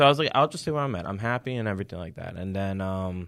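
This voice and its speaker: This man has a New York accent and a fairly low pitch. The recording is very clean, with a silent background. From Long Island, New York. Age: 30s. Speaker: insurance agent. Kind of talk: casual chat.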